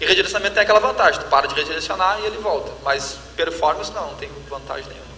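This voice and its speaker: Against noticeable background noise, a man speaks with a southern Brazilian accent. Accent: southern Brazilian (gaúcho) Portuguese. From Rio Grande do Sul, Brazil. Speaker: tech company representative. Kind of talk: Q&A panel at conference.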